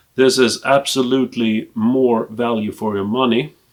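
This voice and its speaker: A man speaks with a Swedish accent at a medium pitch. His pace is fairly slow, and his pitch varies in an ordinary way. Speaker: film collector and video blogger. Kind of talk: casual collection review to camera. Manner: hesitant, with frequent fillers.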